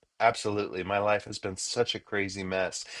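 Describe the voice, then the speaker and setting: Using an ordinary speaking voice, this man talks with a fairly low pitch at a moderate pace. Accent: American. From Los Angeles, US. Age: 60s. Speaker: musician and author. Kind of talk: interview. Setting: in a car. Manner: casual, filler-heavy.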